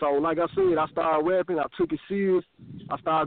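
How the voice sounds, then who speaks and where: In a Memphis accent, the speaker talks at a fairly quick pace with fairly even intonation. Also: man. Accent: Southern US, Memphis. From US South, Memphis, Tennessee. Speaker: rapper. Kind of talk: interview on internet radio show. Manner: casual, slang-heavy.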